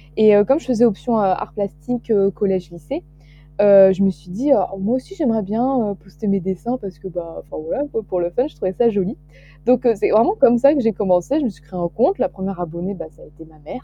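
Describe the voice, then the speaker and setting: Music plays behind a fairly quick delivery with lively intonation and big swings in loudness. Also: woman, medium pitch for a woman. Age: 20s. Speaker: young illustrator and student. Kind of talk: casual interview. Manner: hesitant, many fillers.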